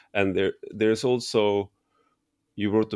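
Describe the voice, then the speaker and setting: Speaking with a Swedish accent and monotone, flat intonation, a man is heard in a dry, close sound with no echo against a quiet background. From Sweden. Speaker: podcast host. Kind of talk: interview conversation. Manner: halting.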